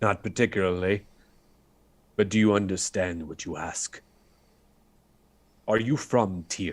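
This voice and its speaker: Using a put-on character voice, a man with a fairly low pitch speaks at a moderate pace with long, frequent pauses, fairly even intonation and big swings in loudness, on a very clean recording with a silent background. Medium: actual play. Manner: low, secretive, blunt.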